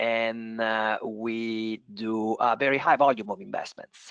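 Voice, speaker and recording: In an Italian accent, the voice sounds dry and close, with no echo. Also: man. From Italy. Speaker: venture capital investor. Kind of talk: panel discussion. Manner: hesitant with many fillers.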